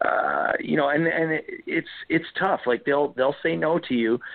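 An ordinary speaking voice with a Canadian accent, it keeps a moderate pace and ordinary pitch variation. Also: man. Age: 30s. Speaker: country singer-songwriter. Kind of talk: interview.

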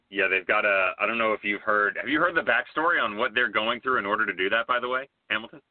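Speaking very fast, a man with a medium-pitched voice uses ordinary pitch variation. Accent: American. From United States. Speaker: soccer analyst. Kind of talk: casual chat.

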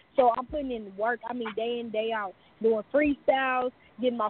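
A high-pitched woman in an American accent, fairly quick in pace with fairly even intonation. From Houston, Texas. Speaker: rapper. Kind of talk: casual interview.

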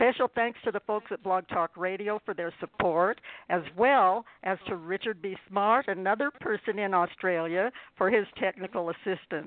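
An unremarkable speaking voice belongs to a woman at medium pitch. She talks at a moderate pace with ordinary pitch variation. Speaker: radio show host. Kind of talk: hosted interview show.

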